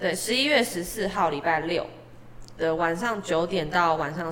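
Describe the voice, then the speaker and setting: Amid noticeable background noise and audible room echo, a woman with a fairly low pitch speaks at a fairly slow pace with ordinary pitch variation. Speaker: street performer singer. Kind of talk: casual interview chat.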